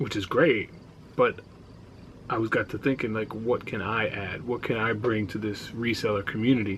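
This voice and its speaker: Mumbling with an American accent, a man talks at a moderate pace and fairly low pitch with fairly even intonation. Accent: New York, lighter than before. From New York. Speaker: reseller vlogger, former radio producer. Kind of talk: casual vlog monologue. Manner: quiet, not loud.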